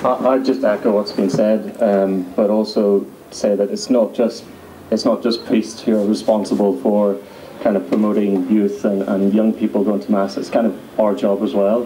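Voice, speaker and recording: A man with a Northern Irish accent speaks at a fairly low pitch. His loudness stays very even over noticeable background noise. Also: ordinary pitch variation, moderate pace. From Northern Ireland. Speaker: youth panelist. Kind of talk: panel Q&A answer.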